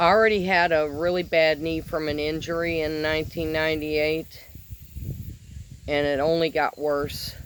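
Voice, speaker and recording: At a moderate pace, a woman with a very deep, low voice speaks in a monotone with flat intonation. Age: 60s. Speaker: vlogger sharing personal diet journey. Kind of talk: personal testimony monologue.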